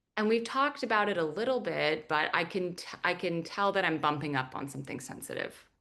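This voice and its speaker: Bright and sharp in tone, a woman's fairly low voice swings very widely in pitch. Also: hardly any pauses. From Iranian diaspora, grew up outside Iran. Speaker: journalist and author. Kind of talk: book talk interview. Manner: casual, many fillers like 'like'.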